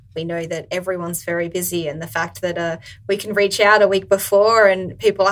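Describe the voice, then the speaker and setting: This woman speaks fairly quickly in an Australian accent. Her pitch is medium and her intonation fairly even. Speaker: podcast co-host. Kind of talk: casual chat.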